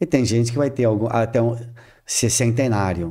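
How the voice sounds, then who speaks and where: A man talks at a fairly slow pace with a dark, mellow tone. The recording is very clean, with a silent background. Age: 60s. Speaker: spiritist speaker. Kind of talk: podcast interview.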